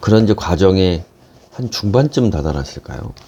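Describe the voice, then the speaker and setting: A man speaks at a moderate pace with very wide pitch swings. Noticeable background noise is present. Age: 50s. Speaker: business coach and lecturer. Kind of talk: casual talk to camera.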